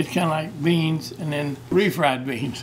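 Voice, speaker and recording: A man at a fairly high pitch with ordinary pitch variation and a fairly slow pace, with audible room echo and noticeable background noise. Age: 80s+. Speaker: feed store owner. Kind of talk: interview. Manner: halting.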